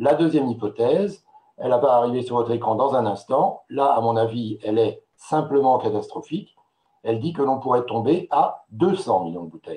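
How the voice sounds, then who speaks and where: Somewhat breathy and dark, mellow in tone, a man speaks at medium pitch and a moderate pace with lively intonation. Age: 60s. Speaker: wine marketing expert. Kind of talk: webinar presentation. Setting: online webinar with slides. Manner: hesitant, many filler sounds.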